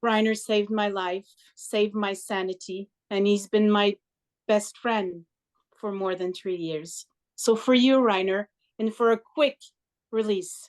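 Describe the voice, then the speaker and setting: Recorded with a dry, close sound with no echo, a woman with a French Canadian accent speaks at a fairly slow pace with fairly even intonation and long, frequent pauses. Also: medium pitch for a woman. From Quebec. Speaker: participant. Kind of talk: self-introduction.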